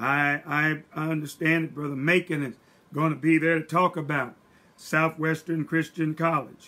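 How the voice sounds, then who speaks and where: A man speaks in a bright, sharp tone. He goes at a fairly slow pace. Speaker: church pastor. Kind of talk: church announcements. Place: home room. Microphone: webcam.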